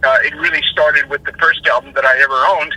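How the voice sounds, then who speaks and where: Against noticeable background noise, a man speaks in an American accent with a dry, close sound and no echo. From Los Angeles, US. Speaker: rock singer. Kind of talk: interview.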